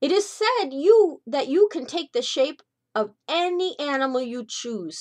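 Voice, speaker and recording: The speaker is a woman in a put-on character voice. She is high-pitched and keeps a moderate pace. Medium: read story. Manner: sly, persuasive.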